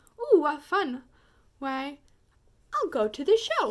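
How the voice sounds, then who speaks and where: Fairly slow, high-pitched put-on character voice from a woman. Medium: read story. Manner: flighty, self-centered.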